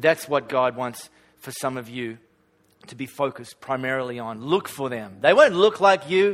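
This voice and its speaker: Using a plain, everyday voice, a man speaks at medium pitch with lively intonation and big swings in loudness. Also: moderate pace. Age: 40s. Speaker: pastor. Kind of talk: sermon. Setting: church.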